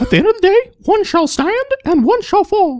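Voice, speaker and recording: The voice is squeaky and extremely high, a put-on character voice. Its pace is moderate. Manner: parody of a heroic speech.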